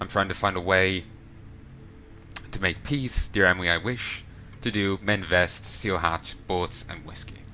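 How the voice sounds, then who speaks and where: With an Irish accent, a man speaks at a moderate pace in a very deep, low pitch with fairly even intonation and long, frequent pauses, over noticeable background noise. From Ireland. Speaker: let's play gamer. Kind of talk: reading in-game notes aloud.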